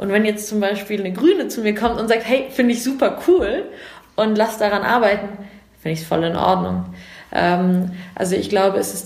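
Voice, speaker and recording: A woman speaks at a moderate pace and medium pitch, with fairly even intonation. There is noticeable background noise and audible room echo. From Germany, Munich. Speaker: civil servant. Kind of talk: interview.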